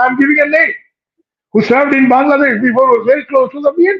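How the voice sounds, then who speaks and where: An animated man talking at a fairly quick pace. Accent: Bengali. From West Bengal, India. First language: Bengali. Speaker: panelist. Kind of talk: panel discussion.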